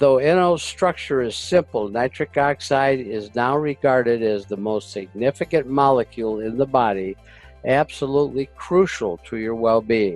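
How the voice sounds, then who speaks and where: A man at a medium pitch speaks at a moderate pace with lively intonation, the sound dry and close with no echo and music playing in the background. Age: 80s. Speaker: war veteran, health product presenter. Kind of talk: health education presentation to camera.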